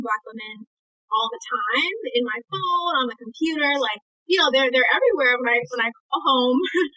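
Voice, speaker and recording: Over music in the background, a woman with an American accent speaks at a fairly quick pace in a high pitch with ordinary pitch variation. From Brooklyn, New York. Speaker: fitness instructor and content creator. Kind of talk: podcast interview.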